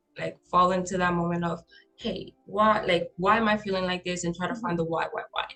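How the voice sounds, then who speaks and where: Music plays in the background as a woman talks at a medium pitch and a moderate pace. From Honduras. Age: 20s. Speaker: podcast guest. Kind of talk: casual chat.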